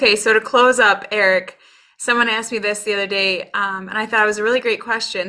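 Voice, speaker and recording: With a bright, sharp tone, a woman sounds warm and enthusiastic at a fairly high pitch. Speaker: podcast host. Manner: warm, enthusiastic.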